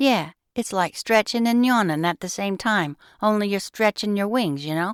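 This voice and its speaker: A put-on character voice at a moderate pace, in a very clean recording with a silent background. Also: female-sounding voice, medium pitch for a woman. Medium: read story.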